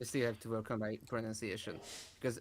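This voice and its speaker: A man talks at a very fast pace. He speaks with a Hungarian accent. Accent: Hungarian accent, understandable. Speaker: YouTuber. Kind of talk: casual chat. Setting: livestream video call.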